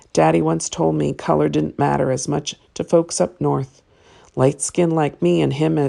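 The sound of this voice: The text is delivered in an unforced reading voice.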